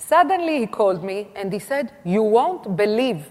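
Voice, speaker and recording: Noticeable background noise sits behind a voice whose pitch swings very widely. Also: woman. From Israel. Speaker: food tour founder. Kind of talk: conference talk.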